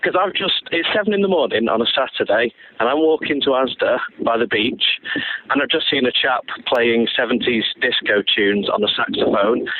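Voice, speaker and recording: Delivered at a moderate pace in a Manchester accent, the speech keeps a very even loudness over noticeable background noise. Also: man. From northern England, Manchester. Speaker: listener caller. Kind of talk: recorded listener question. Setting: outdoors, walking by the beach.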